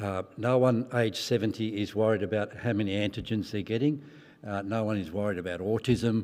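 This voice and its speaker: This man has an ordinary speaking voice at a fairly low pitch. His intonation stays fairly even. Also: very clean recording, silent background. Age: 60s. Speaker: professor of medicine. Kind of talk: conference talk. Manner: frequent fillers, um and uh.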